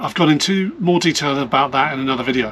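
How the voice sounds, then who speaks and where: Fairly quick and fairly high-pitched, a man talks with ordinary pitch variation and a British accent. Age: 50s. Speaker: vlogger. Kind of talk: personal vlog. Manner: fast.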